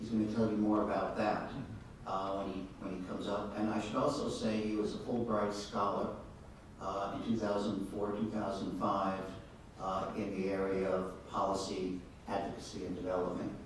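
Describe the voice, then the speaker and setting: Strong room echo and light background noise surround a man speaking at a moderate pace in a fairly low pitch, his intonation monotone and flat. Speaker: event host introducing speaker. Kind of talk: speaker introduction. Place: hall.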